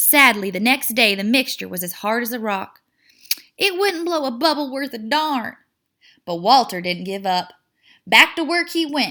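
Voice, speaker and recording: A woman with a Southern US accent speaks at a moderate pace in a high, bright, sharp voice, her pitch swinging very widely. She leaves long, frequent pauses. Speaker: teacher. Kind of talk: children's picture book read-aloud.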